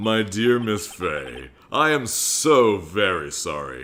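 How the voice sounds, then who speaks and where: Putting on a character voice with a theatrical tone, a man speaks at a very slow pace and a fairly low pitch, with very wide pitch swings. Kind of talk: cheesy. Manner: showy, smooth, overly theatrical.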